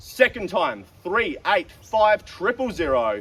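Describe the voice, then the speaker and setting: A man with an Australian accent speaks in a high pitch. His voice makes very wide pitch swings. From South Australia. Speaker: auctioneer. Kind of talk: live auction calling. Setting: outdoors.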